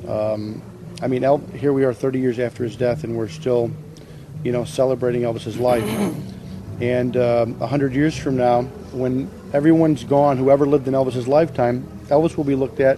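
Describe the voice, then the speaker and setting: Speech at a moderate pace with ordinary pitch variation and long, frequent pauses sounds dry with no echo, over noticeable background noise. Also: man. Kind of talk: interview answer. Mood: sincere, reflective.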